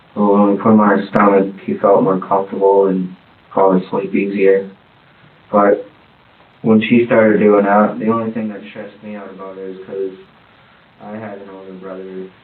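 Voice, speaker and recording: A man mumbles at a fairly low pitch in a monotone, flat intonation. There are long, frequent pauses and big swings in loudness. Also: moderate pace. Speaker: father of the deceased infant. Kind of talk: police interview answer. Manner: mumbling.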